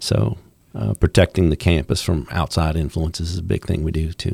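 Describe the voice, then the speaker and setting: Speaking at a moderate pace, a man uses a very deep, low pitch with vocal fry. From Louisiana, Baton Rouge. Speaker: campus police officer, former federal probation officer. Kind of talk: interview, faith testimony. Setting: studio.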